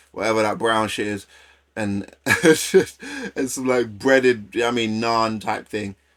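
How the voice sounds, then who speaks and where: In a London accent, a man speaks at a fairly slow pace. His medium pitch shows ordinary variation. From London, near Essex. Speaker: streamer reacting to videos. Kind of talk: casual live-stream reaction commentary. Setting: live stream. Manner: loud.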